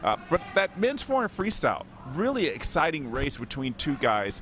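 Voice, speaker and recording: There is music in the background while a man speaks at a moderate pace. The sound is dry with no echo. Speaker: swim commentator host. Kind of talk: sports commentary. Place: hall. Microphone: handheld.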